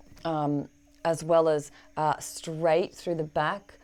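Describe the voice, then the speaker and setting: In a very clean recording with a silent background, a woman with an Australian accent speaks at a very deep, low pitch. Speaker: spiritual medium. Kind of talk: channelled spiritual guidance. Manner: hesitant, many fillers.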